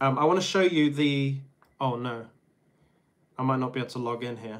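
A man speaks with a fairly bright tone. His pitch is medium, with ordinary variation.

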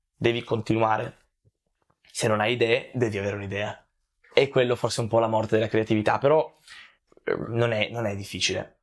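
Long, frequent pauses break up a fairly quick pace, with fairly even intonation over a quiet background. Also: man. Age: 20s. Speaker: content creator. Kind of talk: interview. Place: home room. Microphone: lapel.

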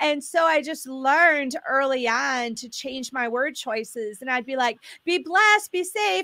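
Against a quiet background, a woman with a high pitch speaks in a raised, projected voice at a fairly slow pace, her tone animated and her intonation lively. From Michigan, US Midwest. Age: 50s. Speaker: author and spiritual warfare minister; spiritual warfare minister. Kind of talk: teaching on a talk show. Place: home room. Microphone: studio mic.

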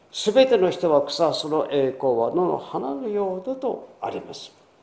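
A dark, mellow tone with very wide pitch swings at a fairly slow pace, in audible room echo. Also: man. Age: 80s+. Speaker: pastor. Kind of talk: sermon. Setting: church. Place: church. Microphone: podium.

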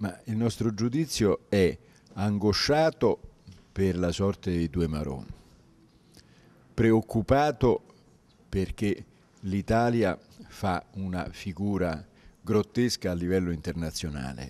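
With long, frequent pauses, a man talks at a very slow pace, his fairly low pitch set in a dark, mellow tone. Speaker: politician. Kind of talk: interview answer. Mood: critical, concerned. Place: hall. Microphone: handheld.

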